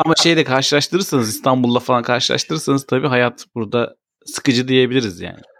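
Very fast speech from a man at medium pitch, with ordinary pitch variation and a dry, close sound free of echo. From Turkey. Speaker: podcast co-host, father. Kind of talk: casual chat.

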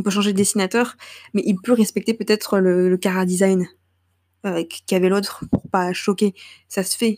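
In a very clean recording with a silent background and a dry, close sound with no echo, a woman speaks at a moderate pace with a medium pitch. Her intonation is monotone and flat, broken by long, frequent pauses. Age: 20s. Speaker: student podcaster. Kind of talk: casual monologue. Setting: at home, late night. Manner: hesitant, many fillers.

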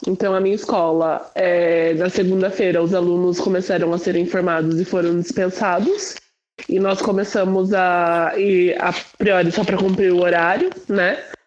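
With monotone, flat intonation, a woman speaks at a medium pitch and a moderate pace, her loudness very even. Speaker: chemistry teacher. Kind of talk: casual group discussion.

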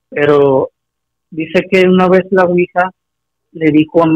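A man speaks at a fairly slow pace, recorded dry and close with no echo. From Acapulco, Mexico. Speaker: caller. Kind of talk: phone-in story telling.

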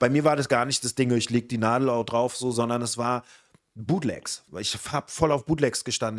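A man with a normal speaking voice talks at a medium pitch. The sound is dry and close with no echo, on a very clean recording with a silent background. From Berlin (Spandau). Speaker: podcast host. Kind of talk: casual chat.

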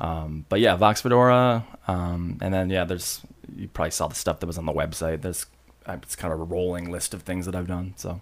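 At a fairly quick pace, a man with an American accent talks in a very deep, low pitch with ordinary pitch variation. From Michigan, Grand Rapids area. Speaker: recording studio owner and engineer. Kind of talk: casual interview. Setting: studio.

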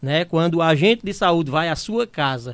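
A man with a high-pitched voice speaks at a moderate pace. The recording is very clean, with a silent background. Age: 50s. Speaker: union president and community health agent. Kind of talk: radio interview. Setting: radio studio.

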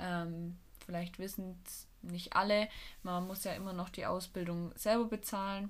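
In a room with audible echo, a woman talks at a medium pitch and a fairly slow pace with monotone, flat intonation. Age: 20s. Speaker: physiotherapy trainee and student, podcast co-host. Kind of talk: casual chat.

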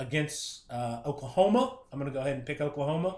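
A somewhat breathy man with an American accent, very fast pace and ordinary pitch variation. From Ohio. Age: 40s. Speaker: sports fan guest. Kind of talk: casual chat.

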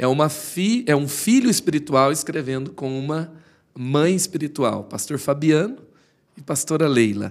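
This man has a plain, everyday voice, pitched fairly high for a man. He talks at a fairly slow pace with lively intonation. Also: very clean recording, silent background. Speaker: podcast host. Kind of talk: interview.

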